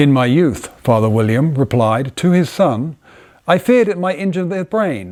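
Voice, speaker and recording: Very wide pitch swings mark the delivery of a man with an English accent. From England. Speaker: inventor and designer. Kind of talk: poetry reading. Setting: workshop by the fire.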